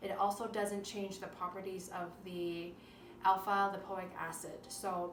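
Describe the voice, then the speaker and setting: Music plays in the background as a woman speaks at a medium pitch. Audible room echo surrounds her voice. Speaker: naturopathic doctor. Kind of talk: cooking tutorial. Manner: halting, frequent self-corrections.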